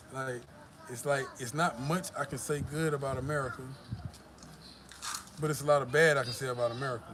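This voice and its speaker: Over noticeable background noise, a man with a Southern US accent and fairly high pitch speaks. His intonation is fairly even, broken by long, frequent pauses. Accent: southern drawl. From US South, Georgia. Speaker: YouTuber. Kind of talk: live stream chat. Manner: casual, profane.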